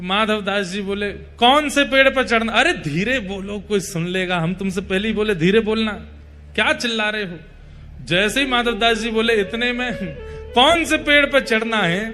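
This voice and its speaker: High male speech with ordinary pitch variation. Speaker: religious storyteller. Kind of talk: devotional story narration.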